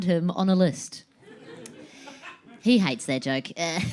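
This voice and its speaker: A woman speaks at a medium pitch in a New Zealand accent, with lively intonation. Her pace is moderate, and there is noticeable background noise. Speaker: stand-up comedian. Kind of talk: stand-up. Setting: stage with audience.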